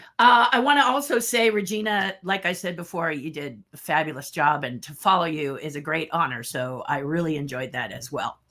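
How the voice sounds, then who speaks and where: Her voice is a woman's at a fairly low pitch, bright and sharp in tone, with very wide pitch swings. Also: big swings in loudness. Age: 60s. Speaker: sculptor and special effects artist presenting. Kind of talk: online presentation. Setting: virtual summit livestream. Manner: casual, chatty.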